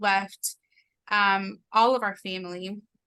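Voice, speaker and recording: The voice has a bright, sharp tone and a monotone, flat intonation, with a Spanish accent. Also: woman. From Mexico, moved to Oklahoma at nine. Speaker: interview guest. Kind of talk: casual interview, personal testimony.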